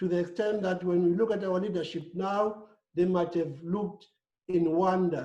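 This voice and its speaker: The speaker talks at a moderate pace. The accent is South African. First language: Xhosa. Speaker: panelist. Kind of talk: panel discussion.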